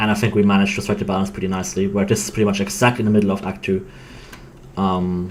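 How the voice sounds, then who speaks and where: A man's fairly low voice in a non-native accent, very fast and monotone with flat intonation, over noticeable background noise. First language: not English. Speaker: game developer. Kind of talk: casual chat. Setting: live stream. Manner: halting.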